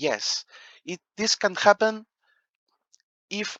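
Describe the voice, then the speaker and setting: A man with a non-native accent speaks very slowly in a bright, sharp tone, and the sound is dry and close with no echo. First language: not English. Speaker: board game rules explainer. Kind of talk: tutorial. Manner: halting, many fillers.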